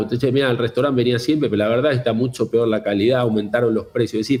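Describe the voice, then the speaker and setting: A man talks in an ordinary speaking voice at a medium pitch, with ordinary pitch variation. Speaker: fintech executive. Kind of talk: interview.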